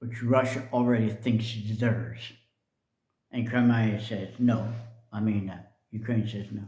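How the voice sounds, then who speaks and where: Somewhat breathy, a man speaks at a medium pitch in a dark, mellow tone, slowly and with monotone, flat intonation. His loudness swings widely, and room echo is audible. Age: 70s. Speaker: video blogger. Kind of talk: personal commentary monologue. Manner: casual, hesitant with fillers.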